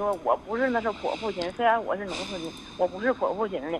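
A woman talks at a fairly quick pace and a medium pitch. Her pitch varies in an ordinary way. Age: 40s. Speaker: caller. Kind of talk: phone call-in. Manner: halting.

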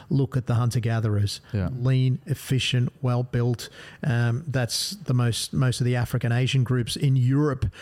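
A somewhat breathy man talks at a moderate pace and medium pitch, his loudness very even and his pitch variation ordinary. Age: 40s. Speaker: gastroenterologist. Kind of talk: podcast interview.

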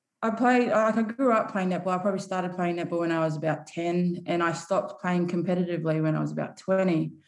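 Audible room echo surrounds the voice. A woman talks with ordinary pitch variation. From Samoa. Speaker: professional rugby player. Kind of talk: casual chat.

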